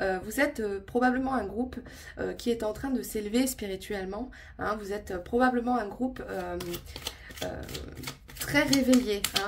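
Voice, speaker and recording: Audible room echo and noticeable background noise surround a woman with a fairly high pitch. She speaks at a fairly slow pace with ordinary pitch variation. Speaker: tarot and oracle card reader. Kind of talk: intuitive card reading monologue to viewers. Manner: calm, settled; hesitant, many filler sounds.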